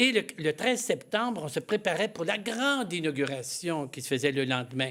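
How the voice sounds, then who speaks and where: A man at a fairly high pitch in a Canadian French accent, moderate in pace, with very wide pitch swings, in a very clean recording over a silent background. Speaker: missionary priest. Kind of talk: studio interview. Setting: TV studio. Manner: halting, with many hesitations.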